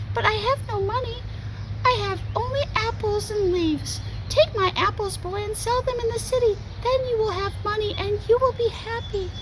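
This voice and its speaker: Over loud background noise, a squeaky put-on character voice speaks at an extremely high pitch. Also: moderate pace. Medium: read story. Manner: gentle, warm.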